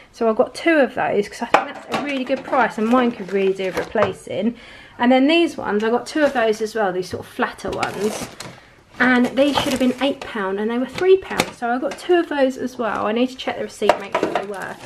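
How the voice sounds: At a fairly quick pace, a woman speaks with lively intonation over faint background noise. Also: fairly high pitch for a woman.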